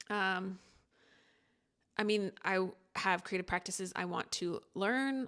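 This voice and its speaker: In a very clean recording with a silent background, a woman with a bright, sharp tone speaks in fairly even intonation, taking long, frequent pauses. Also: medium pitch for a woman. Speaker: creator documenting a personal creative experiment. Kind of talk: casual reflective monologue. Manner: fast; halting, many fillers and restarts.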